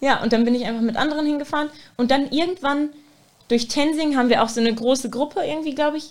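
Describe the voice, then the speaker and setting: Talking at a very fast pace, a woman speaks at a high pitch with ordinary pitch variation. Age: 20s. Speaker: student teacher. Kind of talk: casual chat.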